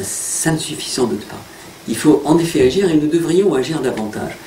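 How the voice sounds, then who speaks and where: A man's fairly high voice, moving at a moderate speed, carries audible room echo with noticeable noise behind it. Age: 60s. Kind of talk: interview.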